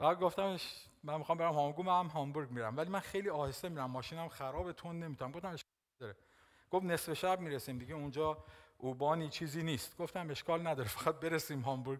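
A man rattles along at a very fast pace, his pitch varying in an ordinary way, with a quiet background. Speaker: pastor. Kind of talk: sermon. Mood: warm, smiling, animated. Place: church. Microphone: headset.

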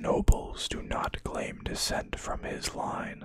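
A whispering voice moves at a very slow pace. Its tone is dramatic and theatrical. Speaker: ASMR video creator. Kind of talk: ASMR lore narration, reading aloud. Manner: dramatic, slow and hushed, theatrical reading of grim lore. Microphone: studio mic.

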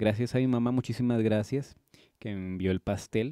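A man speaks at a moderate pace in a fairly low pitch, his dark, mellow tone carrying ordinary pitch variation over a quiet background, with a dry sound and no echo. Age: 20s. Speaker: YouTuber; birthday host. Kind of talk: casual vlog. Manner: animated. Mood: warm, celebratory, thankful. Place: home room. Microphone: handheld.

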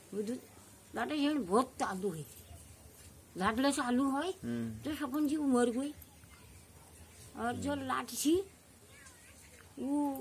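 A woman with a Pahari accent speaks at a very slow pace in a high voice, her pitch swinging very widely. Long, frequent pauses break her speech over light background noise. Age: old. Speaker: village storyteller. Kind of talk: folk storytelling. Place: open country.

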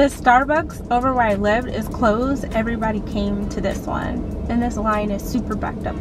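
With music playing behind her and a dry sound with no echo, a woman speaks at a moderate pace with ordinary pitch variation. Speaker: vlogger. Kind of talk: casual vlog chat. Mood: annoyed story about a stolen card. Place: car. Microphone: phone near.

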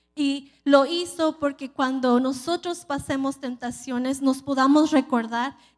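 Very slow speech with monotone, flat intonation over a quiet background. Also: woman. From California. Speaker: preacher. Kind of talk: sermon. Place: church. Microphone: handheld.

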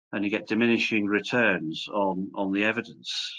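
In a Welsh accent, a man with a fairly low pitch speaks at a moderate pace with fairly even intonation against a quiet background. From Wales. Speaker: professor. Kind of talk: lecture. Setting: video call. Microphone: video call.

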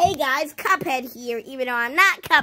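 Using a put-on character voice, a woman speaks in a high pitch. Her pace is moderate. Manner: cartoonish.

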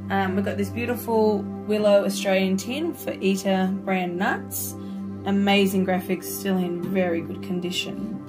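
Clear music plays in the background. A woman talks over it at a moderate pace. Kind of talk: casual vlog chat. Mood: warm and enthusiastic. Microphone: phone near.

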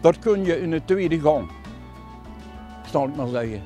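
A man's voice comes through with a dry sound and no echo. Faint music plays in the background. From Limburg, Netherlands. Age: 80s+. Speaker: tractor owner, farmer. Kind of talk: interview answer. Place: farm machine.

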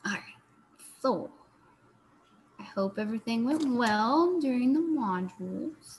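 A woman's fairly high, slightly mellow voice with a slightly husky edge, lively intonation and a slow pace

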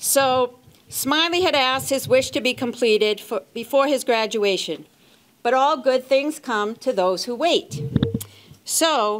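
A woman speaks in a high voice over light background noise. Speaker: presenter. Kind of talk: ceremony speech. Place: hall. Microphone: handheld.

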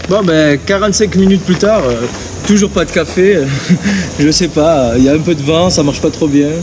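Noticeable background noise behind a man at a moderate pace with ordinary pitch variation. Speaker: motorbike vlogger. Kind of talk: casual vlog chat. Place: open country.

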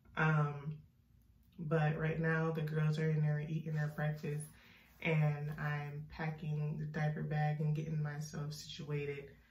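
Audible room echo surrounds a woman speaking at a fairly slow pace. Her voice is very deep and low, in a flat monotone. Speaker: vlogger. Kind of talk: vlog. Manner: casual, conversational. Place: bathroom. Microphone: phone near.

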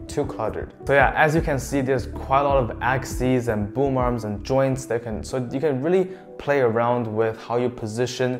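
Over music in the background, a man speaks at a moderate pace with ordinary pitch variation and hardly any pauses. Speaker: tech reviewer. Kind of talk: product review. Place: home room.

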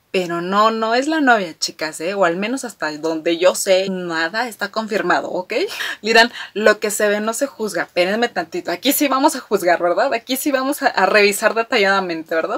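Lively in intonation, a woman speaks at a moderate pace with hardly any pauses. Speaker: fan vlogger. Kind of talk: casual vlog chat. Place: home room.

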